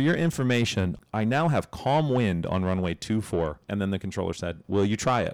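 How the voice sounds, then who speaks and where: A man's fairly low voice with very wide pitch swings, on a very clean recording with a silent background. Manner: urgent, clipped and tense, narrating in the present tense.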